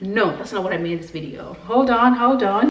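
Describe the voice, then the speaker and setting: Recorded with audible room echo and noticeable background noise, this speaker has a Kenyan accent. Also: woman. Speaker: vlogger. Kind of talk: casual vlog talk to camera. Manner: animated.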